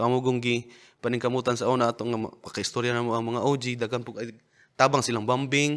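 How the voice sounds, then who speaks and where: At a moderate pace, a man talks in a very clean recording with a silent background. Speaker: rapper and battle league organizer. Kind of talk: casual interview chat. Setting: studio.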